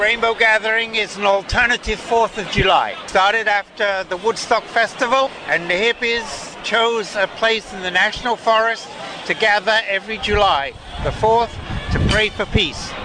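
Crowd noise sits behind a man with a high pitch. He keeps a moderate pace and fairly even intonation. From England. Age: 70s. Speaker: protester. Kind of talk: interview. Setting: outdoors.

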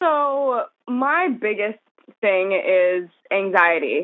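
She speaks with an American accent. The voice belongs to a woman. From New Jersey. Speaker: fitness coach. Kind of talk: casual interview chat.

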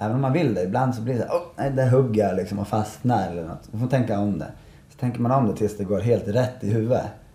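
A man talks very fast at a medium pitch, in a somewhat breathy voice with a dark, mellow tone and ordinary pitch variation. Room echo is audible. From Sweden, Malung (Dalarna). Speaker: professional snowboarder and event organizer. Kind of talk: casual interview. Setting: café at a ski resort.

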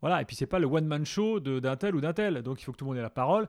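A man talks in a fairly high voice at a fairly quick pace, with lively intonation and a plain, everyday voice. The sound is dry and close with no echo, on a very clean recording with a silent background. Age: 40s. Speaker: football radio show host. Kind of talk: casual interview.

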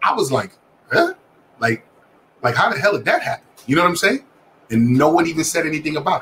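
Over noticeable background noise, a man with a fairly high pitch talks very fast in a lively intonation, broken by long, frequent pauses. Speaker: guest panelist. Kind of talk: heated debate. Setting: video call. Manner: animated.

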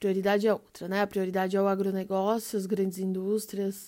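The intonation stays monotone and flat, captured in a very clean recording against total silence. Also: woman. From São Paulo, far south rural outskirts. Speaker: journalist and environmental activist. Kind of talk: panel discussion.

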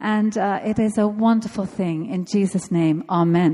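Her tone is dark, mellow and somewhat breathy. This woman talks fairly slowly. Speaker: church pastor. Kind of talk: prayer and welcome introduction. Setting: church.

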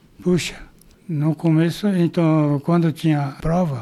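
With noticeable background noise behind him, a man speaks slowly-ish in a fairly high voice with fairly even intonation. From Brazil, São Paulo state. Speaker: retired agronomist, former baseball player. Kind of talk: interview, reminiscing. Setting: at home.

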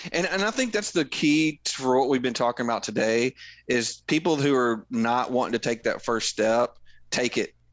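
With a Tennessee accent, a man talks at a moderate pace, his loudness very even and his pitch variation ordinary. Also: medium pitch for a man. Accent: Southern US (Tennessee). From Middle Tennessee. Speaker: conservation group volunteer leader, hunter. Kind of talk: casual interview chat.

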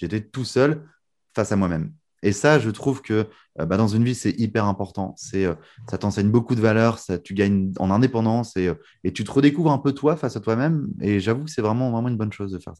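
The recording is very clean, with a silent background. A man with a fairly low pitch and a dark, mellow tone talks at a fairly quick pace with ordinary pitch variation. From northern France, Lille. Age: 20s. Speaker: magician and mentalist. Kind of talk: casual interview.

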